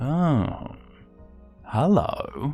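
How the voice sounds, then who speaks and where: A put-on character voice at a low-to-middle pitch, with faint music in the background. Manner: quiet, softly greeting.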